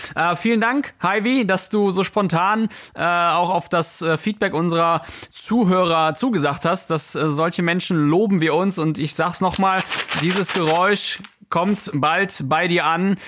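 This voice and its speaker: A man with a high-pitched voice speaks fairly slowly, with ordinary pitch variation and very even loudness. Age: 30s. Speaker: intensive care nurse, podcast host. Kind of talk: casual chat.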